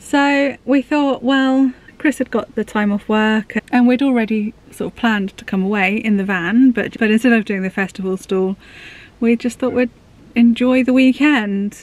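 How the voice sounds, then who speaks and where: With a dry sound and no echo, a woman speaks at a moderate pace with ordinary pitch variation. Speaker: vlogger. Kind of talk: casual vlog chat. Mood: cheerful, relaxed. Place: car. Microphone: phone near.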